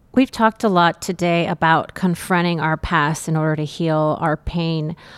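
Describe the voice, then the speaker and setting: In a very clean recording with a silent background and a dry, close sound with no echo, a woman talks fairly slowly in a normal speaking voice with a fairly low pitch. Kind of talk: interview.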